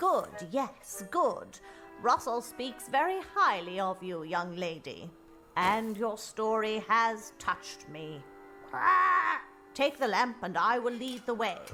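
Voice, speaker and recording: A female-sounding cartoonish character voice, fairly high in pitch and fairly slow, over clear background music. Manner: prim, formal.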